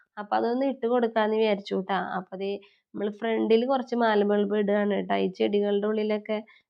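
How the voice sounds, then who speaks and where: Flat, monotone intonation in a woman's voice of medium pitch. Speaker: family vlogger. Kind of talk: vlog narration. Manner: chatty, conversational.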